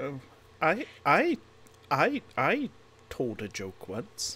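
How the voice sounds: This is a put-on character voice with a bright, sharp tone and a slightly husky edge. It moves at a very slow pace through very wide pitch swings.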